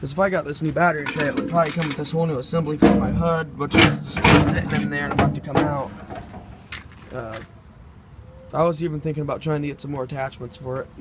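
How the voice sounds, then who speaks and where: Noticeable background noise sits behind a man who speaks at a very fast pace, his pitch varying in an ordinary way. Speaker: tractor hobbyist. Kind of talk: casual talk to camera.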